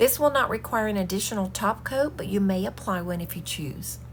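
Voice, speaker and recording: A woman speaks at a medium pitch with vocal fry. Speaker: home decor crafter. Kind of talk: DIY tutorial voiceover.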